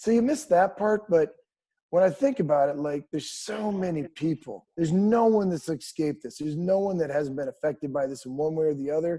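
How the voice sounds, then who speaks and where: The speaker is a man with a fairly high pitch. He talks at a fairly quick pace. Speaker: country music singer. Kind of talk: casual interview chat. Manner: casual, with frequent fillers and repetitions.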